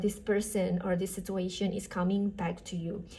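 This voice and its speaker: A woman speaks at a moderate pace. Her tone is dark and mellow, and somewhat breathy. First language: not English. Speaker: tarot reader. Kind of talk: tarot reading. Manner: casual, with fillers.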